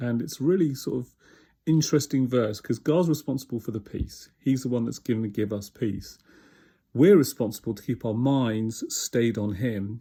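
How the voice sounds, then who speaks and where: Someone with a British accent has a dark, mellow tone on a very clean recording with a silent background. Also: man. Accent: UK. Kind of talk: devotional talk.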